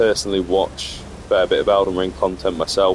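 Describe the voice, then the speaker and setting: Noticeable background noise sits behind a man with a very deep, low pitch. He talks at a moderate pace with fairly even intonation. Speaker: gaming streamer. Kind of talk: gameplay commentary. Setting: live stream. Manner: monotone; casual, hesitant with fillers.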